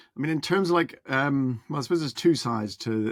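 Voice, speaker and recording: This man speaks in a Northern Irish accent at a fairly quick pace. His pitch varies in an ordinary way. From Northern Ireland. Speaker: musician and music producer. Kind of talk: interview. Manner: halting, many fillers.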